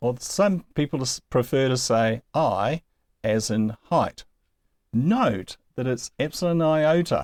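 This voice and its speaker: In an American accent, a man of medium pitch speaks at a very slow pace with lively intonation, the sound dry and close with no echo. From New Zealand. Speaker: Greek language teacher. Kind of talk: lecture.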